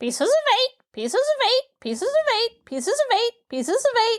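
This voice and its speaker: Putting on a character voice, a woman squeaks in a shrill, extremely high pitch. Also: moderate pace. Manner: mechanical, clacking, without pause or change.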